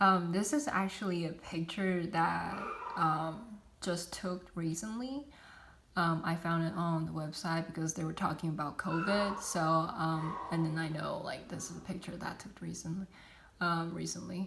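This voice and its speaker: Non-native accent, ordinary pitch variation, noticeable background noise and audible room echo. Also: woman, fairly low pitch for a woman, moderate pace. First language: not English. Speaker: student. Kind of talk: class presentation. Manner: halting, many fillers.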